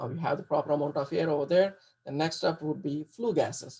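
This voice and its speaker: Ordinary pitch variation from a man moving at a fairly quick pace. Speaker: HVAC engineer giving a guest lecture. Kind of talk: lecture. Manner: fast; halting, many repetitions and fillers.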